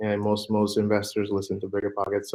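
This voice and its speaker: A man speaks in a Spanish accent with a fairly low pitch. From Puerto Rico. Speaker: real estate fund manager. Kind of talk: podcast interview. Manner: halting, many fillers and repetitions.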